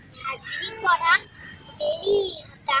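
With music in the background, a woman raises and projects her voice at an extremely high pitch. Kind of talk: poetry reading.

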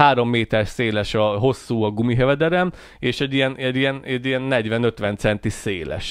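Over a quiet background, a man at medium pitch talks at a fairly quick pace with ordinary pitch variation and a dry sound with no echo. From Hungary. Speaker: podcast co-host. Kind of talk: casual chat. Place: studio. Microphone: studio mic.

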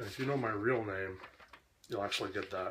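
A man speaks with a somewhat breathy voice. Light background noise sits behind him. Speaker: vlogger. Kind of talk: casual vlog chat, answering a dialect quiz. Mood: wry, joking. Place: kitchen. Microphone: webcam.

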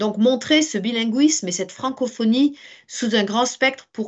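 A woman's ordinary speaking voice, fairly high in pitch, at a fairly slow pace. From France. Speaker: teacher. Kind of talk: webinar presentation. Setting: video call.

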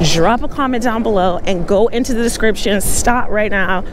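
The pace is moderate and the sound dry, with no echo. Noticeable background noise is present. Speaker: e-bike vlogger. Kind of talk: casual vlog chat. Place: bicycle. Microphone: phone near.

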